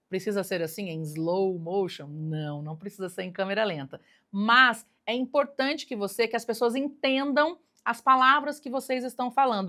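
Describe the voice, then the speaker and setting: On a very clean recording with a silent background, a bright, sharp voice moves at a fairly slow pace with very wide pitch swings. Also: woman. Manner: clear, careful pronunciation of every word.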